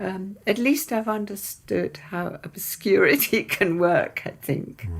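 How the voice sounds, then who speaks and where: Speaking at a very slow pace, a woman has a medium pitch and very wide pitch swings. Noticeable background noise can be heard. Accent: southern English. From England, Isle of Wight. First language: Persian. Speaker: poet. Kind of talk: interview.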